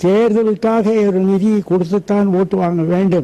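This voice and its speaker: With fairly even intonation, a man speaks in a high pitch with a dark, mellow tone. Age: 90s. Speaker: retired politician. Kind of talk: interview.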